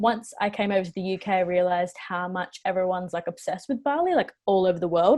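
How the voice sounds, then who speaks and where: Over a quiet background, a woman with an Australian accent speaks. Her pace is fairly quick. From Western Australia (Perth). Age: 20s. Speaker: travel vlogger. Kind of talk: casual interview chat.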